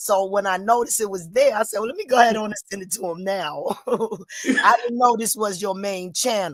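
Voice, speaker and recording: Speaking at a fairly quick pace with hardly any pauses, a woman with a fairly high pitch shows ordinary pitch variation and big swings in loudness. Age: 60s. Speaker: viewer joining panel. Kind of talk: casual live-stream chat.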